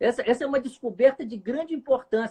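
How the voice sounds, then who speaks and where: A fairly quick delivery in a dry, close sound with no echo. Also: man. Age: 60s. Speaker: clinical psychologist. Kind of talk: casual chat.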